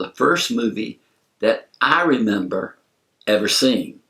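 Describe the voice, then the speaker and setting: With a Southern US accent, a man is talking. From US South, South Carolina. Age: 70s. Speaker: movie reviewer. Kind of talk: storytelling. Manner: casual, conversational.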